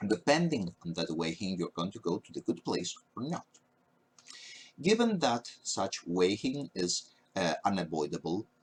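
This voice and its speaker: With a Spanish accent, the speaker uses lively intonation and big swings in loudness, in a dry, close sound with no echo. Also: man, very deep, low pitch for a man, moderate pace. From Spain. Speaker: university professor. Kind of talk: lecture. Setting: recorded at a webcam. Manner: hesitant, frequent fillers.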